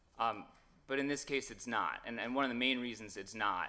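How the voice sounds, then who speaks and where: Loud and very fast, a man speaks at a medium pitch. His tone is bright and sharp. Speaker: lawyer arguing in court. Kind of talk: oral argument before a court. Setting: courtroom. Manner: hesitant, many fillers.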